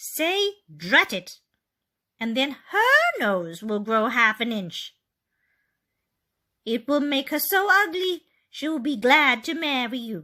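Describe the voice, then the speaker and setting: A female-sounding put-on character voice, high-pitched, raised and projected, moves at a fairly slow pace with very wide pitch swings and long, frequent pauses. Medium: read story.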